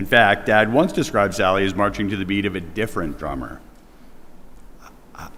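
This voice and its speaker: A man with a very deep, low pitch speaks at a fairly quick pace, his voice carrying audible room echo. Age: 50s. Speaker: eulogy speaker, nephew. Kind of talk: eulogy. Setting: church memorial service. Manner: loud.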